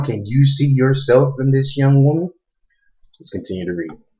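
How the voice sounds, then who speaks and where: Somewhat breathy, a man at a medium pitch speaks with lively intonation. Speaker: YouTube commentator. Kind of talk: casual vlog talk; reading and commenting on an article. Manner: halting, many fillers.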